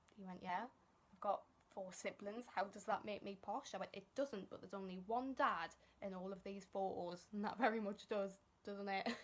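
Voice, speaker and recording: Music plays in the background as a woman speaks at a moderate pace. Her medium-pitched voice keeps fairly even intonation while its loudness swings widely. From northern England. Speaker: stand-up comedian. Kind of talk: stand-up.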